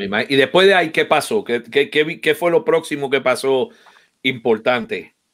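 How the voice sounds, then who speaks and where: A man's fairly high voice at a fairly slow pace, full of very wide pitch swings. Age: 50s. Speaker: percussionist and online show host; online show host. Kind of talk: live-streamed interview. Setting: online live stream. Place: home room. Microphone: video call.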